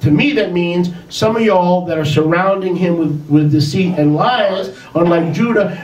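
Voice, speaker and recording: A man with a high pitch talks at a moderate pace with ordinary pitch variation, and audible room echo can be heard. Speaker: religious teacher. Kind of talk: sermon. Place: home room.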